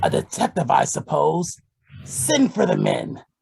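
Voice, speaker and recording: The speaker uses a put-on character voice that sounds raspy. The pace is fairly slow. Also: man. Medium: audio drama. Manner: echoing others.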